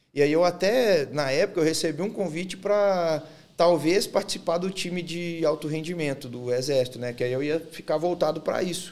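With hardly any pauses, a man speaks at a moderate pace in a high pitch with ordinary pitch variation. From Minas Gerais, Belo Horizonte. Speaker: former army officer and bodybuilder; podcast guest. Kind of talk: interview. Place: studio. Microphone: studio mic.

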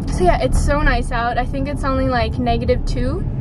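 Loud background noise fills the clip. A woman's voice comes through dry, with no echo. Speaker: vlogger. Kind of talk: casual vlog chat. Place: car. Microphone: phone near.

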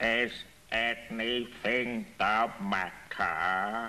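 A man drawls in a put-on character voice at a medium pitch. Light background noise sits behind him. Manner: slow, drawling.

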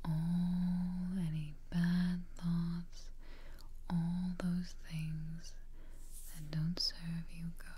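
Speaking at a very slow pace, a woman has a fairly low pitch and monotone, flat intonation. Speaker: relaxation guide. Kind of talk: guided meditation, soft-spoken.

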